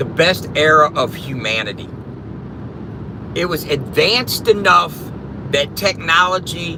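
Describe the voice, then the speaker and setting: A man with an American accent talks at a very slow pace, with long, frequent pauses. His pitch is fairly high, and noticeable background noise sits behind him. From US Midwest, South St. Louis, Missouri. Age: 50s. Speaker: live streamer. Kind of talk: casual live stream chat.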